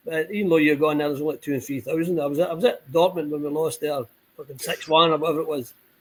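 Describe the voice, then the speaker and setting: Speaking at a very fast pace, a man uses a Scottish accent. His fairly high voice keeps a fairly even intonation. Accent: Scottish, noted as foreign in Spain. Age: 60s. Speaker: football supporters club member. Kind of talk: casual chat. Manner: halting, repetitive.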